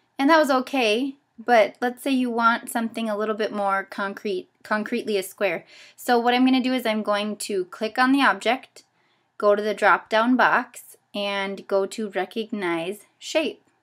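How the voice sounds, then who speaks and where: A woman's fairly high voice at a moderate pace with ordinary pitch variation, a normal speaking voice, on a very clean recording with a silent background. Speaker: teacher trainer. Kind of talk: tutorial. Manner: casual with fillers.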